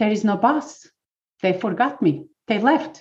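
Speaking at a fairly slow pace, a woman with a plain, everyday voice keeps a fairly high pitch and ordinary pitch variation. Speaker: pain relief specialist. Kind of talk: workshop talk. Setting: video call.

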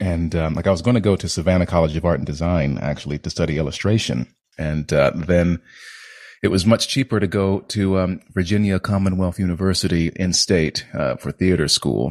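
Resonant and very deep, a man's voice moves at a fairly quick pace, dry and close with no echo over a quiet background. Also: ordinary pitch variation. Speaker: actor. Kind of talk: casual interview conversation. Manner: trained, controlled delivery.

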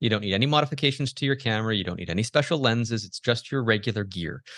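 In a quiet background, a man with a Canadian accent talks at a very fast pace with lively intonation. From Canada. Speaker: macro photographer. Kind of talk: interview conversation. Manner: hesitant, many fillers.

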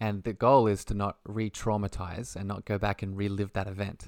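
On a very clean recording with a silent background, a man with an Australian accent speaks in a monotone, flat way, the sound dry and close with no echo. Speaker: holistic health coach and spiritual mentor. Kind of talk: casual interview chat.

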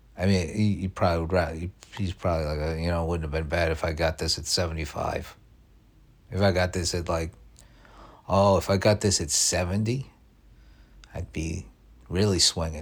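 A man with a very deep, low voice speaks at a moderate pace, somewhat breathy, with fairly even intonation and long, frequent pauses. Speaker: podcast host. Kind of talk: casual solo monologue. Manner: halting, repeats words.

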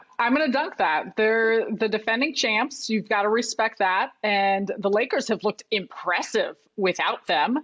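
This woman has a plain, everyday voice with an American accent and a fairly high pitch. She keeps a moderate pace and very even loudness. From US Midwest, Chicago. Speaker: basketball analyst. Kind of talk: casual chat.

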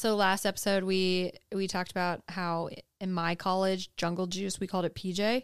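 A woman with an American accent speaks at medium pitch and a moderate pace. Her intonation is monotone and flat, in a very clean recording with a silent background. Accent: slight Southern US, comes out when drinking. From North Carolina, US South. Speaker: podcast co-host.

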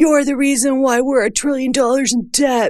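A put-on character voice, high in pitch, delivered at a moderate pace. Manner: mocking, sneering.

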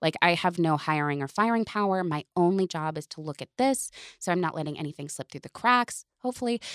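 A woman talks at a fairly quick pace with hardly any pauses in an ordinary speaking voice, her fairly low pitch carrying lively intonation and big swings in loudness, in a dry, close sound with no echo. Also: very clean recording, silent background. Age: 30s. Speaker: intimacy coordinator. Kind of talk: casual interview chat.

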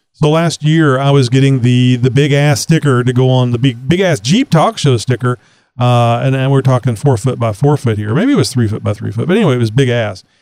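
Fairly quick speech with a Texan accent, ordinary pitch variation and hardly any pauses. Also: man, medium pitch for a man. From Texas. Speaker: podcast host. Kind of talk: casual chat.

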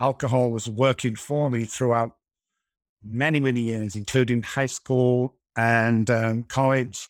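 A man with an American accent at medium pitch and a fairly slow pace, dry and close with no echo, on a very clean recording with a silent background. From Manchester, England. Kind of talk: interview, personal story. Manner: animated.

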